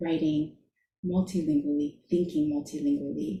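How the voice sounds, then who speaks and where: A somewhat breathy, dark and mellow tone with an American accent, at a fairly slow pace. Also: woman. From US, immigrated from Shanghai at four. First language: Chinese. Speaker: author. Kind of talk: book launch conversation.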